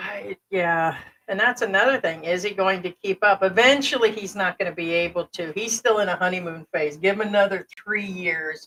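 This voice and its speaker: A woman with an American accent in a normal speaking voice at medium pitch, with ordinary pitch variation, a moderate pace, hardly any pauses and a dry, close sound with no echo. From United States. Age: 50s. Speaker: livestream co-host. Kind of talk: casual livestream chat.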